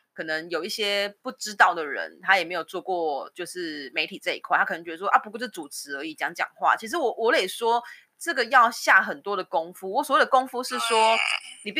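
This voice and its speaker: At a fairly quick pace, a woman with a medium pitch and a bright, sharp tone moves through very wide pitch swings. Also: big swings in loudness. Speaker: podcast co-host. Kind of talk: casual chat.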